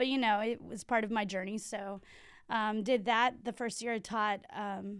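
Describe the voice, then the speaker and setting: A woman with an American accent speaks in a fairly high pitch, her intonation monotone and flat. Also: moderate pace, very clean recording, silent background. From Texas, Corpus Christi. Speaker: library branch manager. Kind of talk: podcast interview. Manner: casual, many fillers.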